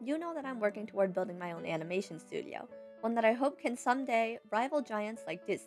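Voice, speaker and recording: Over music in the background, a woman speaks very fast with a fairly high pitch and lively intonation. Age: young. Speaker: writer and animator. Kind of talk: casual talk to camera.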